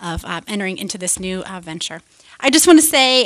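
A woman talks at a fairly quick pace while the background stays quiet. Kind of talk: acceptance speech thanks. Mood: warm, grateful, smiling. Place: meeting room. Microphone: podium.

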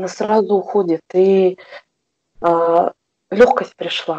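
The speaker is a woman with a medium pitch. Her intonation is fairly even. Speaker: shift worker, class participant. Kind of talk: testimony. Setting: video call.

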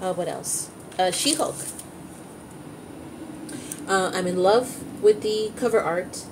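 The pace is slow. Faint background noise can be heard. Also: woman, fairly low pitch for a woman, ordinary pitch variation.

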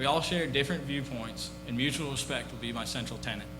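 A man with an American accent talks at a fairly quick pace, with noticeable background noise and audible room echo around him. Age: 30s. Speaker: town council candidate. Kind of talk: candidate opening statement. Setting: public forum with audience. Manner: formal.

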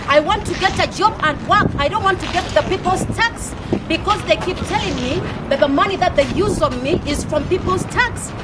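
A woman talks at a moderate pace with an extremely high pitch and ordinary pitch variation. Clear background noise can be heard. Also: few pauses.

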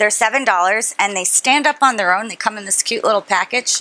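A woman speaks with ordinary pitch variation. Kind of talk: interview answer. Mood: upbeat, promotional. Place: bar. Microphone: lapel.

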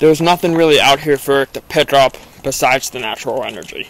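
At a moderate pace and with fairly even intonation, the voice comes through as a dry sound with no echo. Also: man. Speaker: paranormal explorer vlogger. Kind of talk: casual vlog chat. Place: forest. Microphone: phone near.

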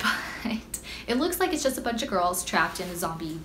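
Woman's voice over light background noise. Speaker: anime vlogger. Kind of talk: casual vlog chat. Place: home room.

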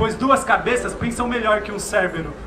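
A man's raised, projected voice at an extremely high pitch and moderate pace, with noticeable background noise. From Brazil, São Paulo east side. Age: young. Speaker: slam poet. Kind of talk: spoken word performance; spoken-word poetry performance. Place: station. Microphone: handheld.

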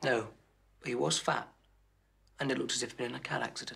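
A man puts on a raspy character voice at a medium pitch. He rattles through it at a very fast pace. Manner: anxious, earnest, suspicious.

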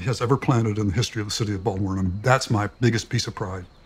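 Somewhat breathy, a man talks at a very fast pace. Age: 70s. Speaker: retired city planner. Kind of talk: documentary interview answer.

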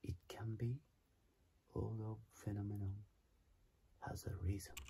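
Over loud background noise, a man's very deep, low voice comes through somewhat breathy. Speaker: singer. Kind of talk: casual talk to camera. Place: home room. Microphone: phone near.

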